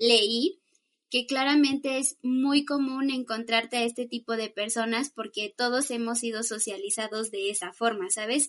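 Here is a woman with a plain, everyday voice, pitched fairly high. Her pace is fairly slow, with ordinary pitch variation. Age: 20s. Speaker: psychologist. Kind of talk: casual chat.

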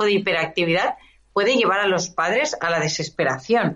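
A woman speaks at a medium pitch and a moderate pace, with lively intonation, in a plain, everyday voice. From Catalonia, Spain (Esplugues, near Barcelona). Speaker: business owner. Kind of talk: interview.

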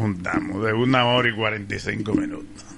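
Noticeable noise sits behind the voice. The room adds audible echo. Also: man. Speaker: radio commentator. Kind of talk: casual chat.

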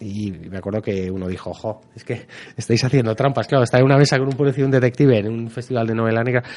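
A man at medium pitch speaks at a very fast pace, with ordinary pitch variation and big swings in loudness. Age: 40s. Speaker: private detective and novelist. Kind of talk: radio interview.

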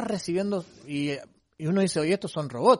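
The background is quiet. The speaker talks at a fairly quick pace. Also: man. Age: 40s. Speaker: church program host. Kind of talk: interview.

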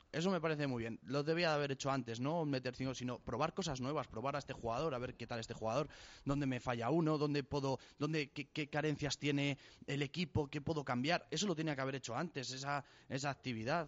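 This man's voice sits fairly high. He rushes along at a very fast pace, keeping his intonation fairly even. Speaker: football pundit. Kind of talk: casual chat. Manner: halting, repeats words.

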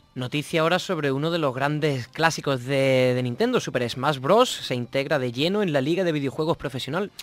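A man's fairly high voice at a fairly quick pace with hardly any pauses, ordinary pitch variation, and noticeable background noise. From Andalusia, Spain. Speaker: podcast co-host. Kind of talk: casual chat; reading aloud.

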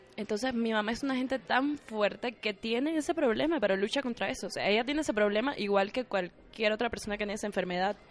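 A woman with a slight Cuban accent, fairly high in pitch with ordinary pitch variation, at a very fast pace with hardly any pauses. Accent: slight Cuban tone. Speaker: actress and former ballet dancer. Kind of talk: casual interview.

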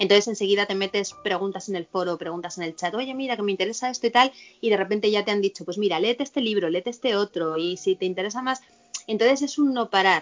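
The speaker talks at a very fast pace with ordinary pitch variation over noticeable background noise. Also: woman, medium pitch for a woman. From Spain, Madrid. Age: 40s. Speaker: vice-president of a satanist association. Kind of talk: interview.

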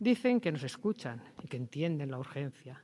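The man's pitch is fairly high and his pace fairly slow. Behind him the background is quiet. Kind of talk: reading aloud. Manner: impassioned.

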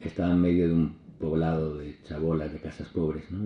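A man speaks in a very deep, low voice. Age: 50s. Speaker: priest. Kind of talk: talk.

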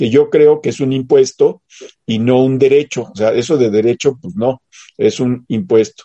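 A man talks at a fairly slow pace in a dark, mellow tone with ordinary pitch variation, the sound dry and close with no echo. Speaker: political commentary co-host. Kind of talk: casual political chat.

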